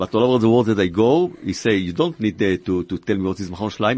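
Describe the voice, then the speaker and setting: A man with an Israeli accent, fairly low pitch and a fairly quick pace. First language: Hebrew. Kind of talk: radio interview. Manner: halting.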